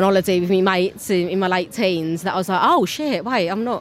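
With a Cockney accent, a woman speaks fairly quickly in a fairly low voice with ordinary pitch variation. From London. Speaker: theatre-maker. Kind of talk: interview.

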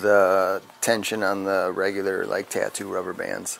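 In an American accent, a man talks at a fairly slow pace with a fairly low pitch and a plain, everyday voice. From Wisconsin. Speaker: tattoo artist. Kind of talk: interview. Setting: tattoo shop.

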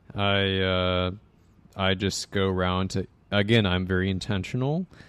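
Here a man talks with an American accent at a moderate pace. His is a plain, everyday voice, fairly low in pitch. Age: 20s. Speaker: bartender. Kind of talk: casual chat.

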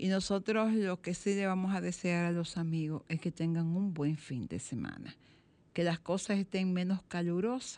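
Over a quiet background, a woman with a fairly low pitch and a dark, mellow tone speaks at a moderate pace. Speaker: radio host. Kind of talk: radio magazine chat and commentary. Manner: animated.

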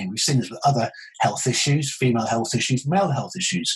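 A man speaks at a very fast pace with lively intonation. Noticeable background noise is present. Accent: British. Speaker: consultant urologist. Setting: video call.

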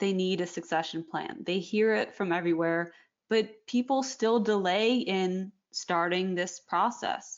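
A woman with a Canadian accent and an ordinary speaking voice talks at a fairly slow pace, with a medium pitch and ordinary pitch variation. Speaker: magazine editor, podcast host. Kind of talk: interview.

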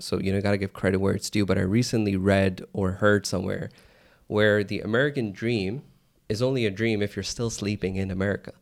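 Fairly quick and fairly low-pitched, a man speaks in a plain, everyday voice. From US, Pakistani-American family. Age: 30s. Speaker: entrepreneur. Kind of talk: casual chat.

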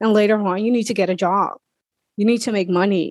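At a fairly quick pace, a woman with a fairly high pitch speaks in a normal speaking voice. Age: 40s. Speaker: life coach. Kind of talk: interview.

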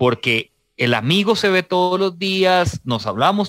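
Over a very clean recording with a silent background, a man speaks at a very slow pace in a high voice with very wide pitch swings, the sound dry and close with no echo. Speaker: radio host. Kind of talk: radio interview. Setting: studio.

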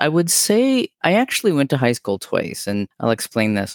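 The speaker talks at a moderate pace in a Canadian accent. The recording is very clean and the background silent. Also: man. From northern Ontario, Canada. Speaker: Two-Spirit knowledge keeper and storyteller. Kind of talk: casual interview chat, storytelling. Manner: calm, reflective.

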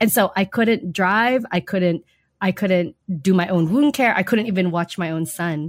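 In an American accent, a woman with a plain, everyday voice speaks at a moderate pace and medium pitch with lively intonation. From Germany, US military family. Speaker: nurse, army veteran and filmmaker. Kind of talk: interview. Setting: remote call with babies nearby.

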